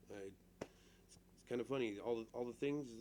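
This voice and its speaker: Dark, mellow tone in a medium-pitched male voice. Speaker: vlogger. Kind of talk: casual monologue to camera. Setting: alone in front of a camera. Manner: halting, full of restarts and fillers.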